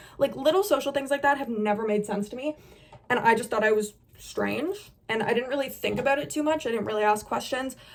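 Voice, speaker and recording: Loud and animated, a woman speaks at a high pitch with lively intonation. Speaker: beauty influencer. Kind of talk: casual chat.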